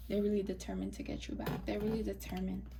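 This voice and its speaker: The voice is a woman's. Audible room echo trails after her words. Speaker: tarot reader. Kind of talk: tarot reading. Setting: recording to camera. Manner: quiet, mellow; soft-spoken, almost whispering.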